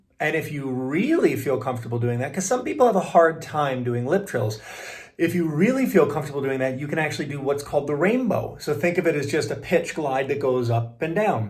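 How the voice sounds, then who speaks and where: Over noticeable background noise and audible room echo, a man with a fairly high pitch talks at a fairly quick pace with lively intonation. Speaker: voice coach and keynote speaker. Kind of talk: tutorial. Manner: casual, animated.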